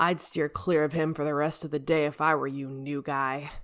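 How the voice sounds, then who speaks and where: A put-on character voice sits at a low-to-middle pitch. It keeps a moderate pace with monotone, flat intonation. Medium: read story. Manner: laid-back, amused.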